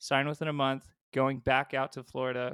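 Captured in a very clean recording with a silent background and a dry, close sound with no echo, a man with a Californian accent speaks at a moderate pace in a medium pitch with monotone, flat intonation. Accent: Californian American. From California (San Diego, Ridgecrest). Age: 30s. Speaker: rock band vocalist. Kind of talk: casual interview chat.

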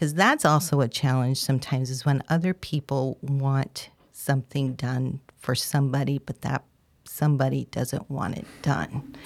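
A woman with an American accent talks at a moderate pace in a very deep, low pitch. Her intonation is fairly even, and the sound is dry and close with no echo. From upstate New York. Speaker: clinical social worker and therapist. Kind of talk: interview conversation.

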